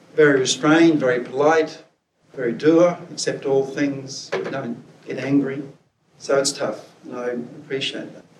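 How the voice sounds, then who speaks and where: A man with fairly even intonation and audible room echo. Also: fairly high pitch for a man, fairly slow pace, big swings in loudness. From Scotland. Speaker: preacher and academic. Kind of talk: sermon.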